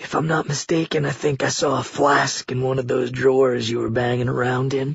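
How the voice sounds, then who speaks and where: A man puts on a raspy character voice at a medium pitch, soft-spoken with monotone, flat intonation. He speaks at a fairly quick pace. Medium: read story. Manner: calm, soft, resigned.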